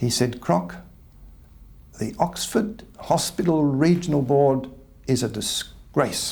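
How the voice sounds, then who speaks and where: With long, frequent pauses, a man talks very slowly in a fairly high pitch, his lively intonation carrying vocal fry. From Australia. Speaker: retired surgeon. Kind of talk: memoir storytelling. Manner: halting.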